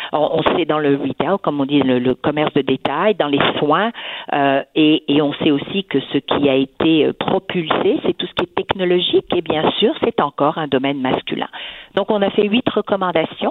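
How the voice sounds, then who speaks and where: The pace is fairly slow, with ordinary pitch variation. Noticeable background noise runs underneath. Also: woman, very deep, low pitch for a woman. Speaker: businesswoman. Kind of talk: radio interview.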